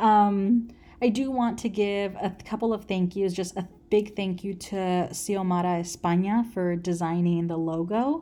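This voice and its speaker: A woman speaks at a medium pitch with a dark, mellow tone and ordinary pitch variation. Her pace is fairly slow, and the recording is very clean with a silent background. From Los Angeles, US. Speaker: podcast host. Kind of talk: solo podcast intro monologue. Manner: casual with many filler words.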